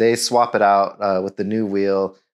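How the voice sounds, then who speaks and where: Quiet surroundings and a man's voice at a moderate speed. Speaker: car owner vlogger. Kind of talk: casual vlog storytelling. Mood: wry, exasperated storytelling. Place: garage.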